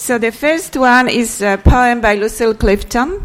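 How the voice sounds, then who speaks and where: A woman speaks with a Polish accent at a fairly high pitch. Her pace is very slow. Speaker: panel moderator and translator. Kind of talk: panel moderation and discussion. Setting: stage with audience at a library.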